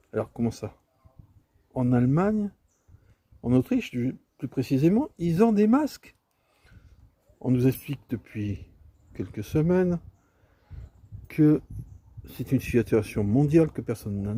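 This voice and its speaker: A fairly high-pitched man's voice, dark and mellow, at a fairly slow pace with long, frequent pauses, very wide pitch swings and big shifts in loudness. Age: 60s. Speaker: video commentator. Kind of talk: casual monologue commentary. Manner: hesitant, many fillers.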